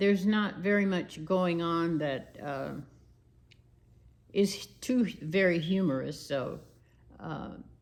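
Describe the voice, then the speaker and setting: Long, frequent pauses break up a woman's very slow speech, with audible room echo around her. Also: fairly low pitch for a woman, ordinary pitch variation. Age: 80s+. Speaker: YouTuber. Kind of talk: casual chat. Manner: rambling, hesitant with fillers.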